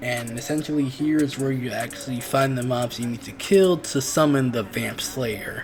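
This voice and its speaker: With music playing in the background, a man talks at a moderate pace and hardly pauses. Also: medium pitch for a man, ordinary pitch variation. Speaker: gaming YouTuber. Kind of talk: gaming tutorial. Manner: casual.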